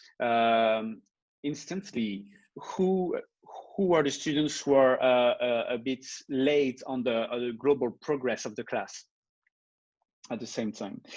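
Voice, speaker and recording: A man with a French accent speaks at medium pitch over a quiet background. His pace is fairly slow, with long, frequent pauses. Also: ordinary pitch variation. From France. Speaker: teacher. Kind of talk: video call presentation and Q&A. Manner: halting, many fillers.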